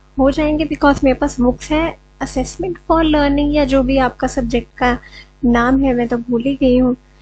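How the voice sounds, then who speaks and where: A woman's high voice with fairly even intonation, over noticeable background noise. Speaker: online teacher for teacher-training exams. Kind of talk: tutorial lecture. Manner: slow; hesitant, many fillers.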